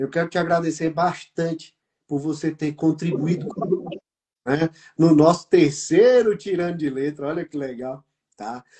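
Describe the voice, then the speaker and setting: A man talks in a normal speaking voice, pitched fairly high. His pitch variation is ordinary. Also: moderate pace. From Brazil. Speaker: business mentor and program host. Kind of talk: live online talk show.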